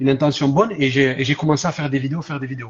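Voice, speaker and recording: A man speaks with a southern French accent. His voice is somewhat breathy. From southern France. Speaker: social media content creator. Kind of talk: live stream interview.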